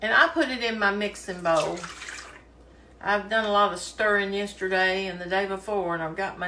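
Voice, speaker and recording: A woman with a Kentucky accent talks at a moderate pace and medium pitch, with ordinary pitch variation, audible room echo and noticeable background noise. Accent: Southern US (Kentucky). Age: 60s. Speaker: home cooking video host. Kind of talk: cooking tutorial. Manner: casual, chatty with fillers.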